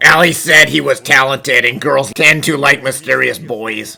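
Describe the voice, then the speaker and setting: Using a raspy, put-on character voice, a man speaks at medium pitch and a moderate pace. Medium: fan dub. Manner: blunt, wry.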